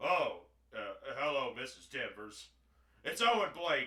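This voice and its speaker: A man adopts a put-on character voice and talks fairly slowly. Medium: solo performance. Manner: hesitant, stammering.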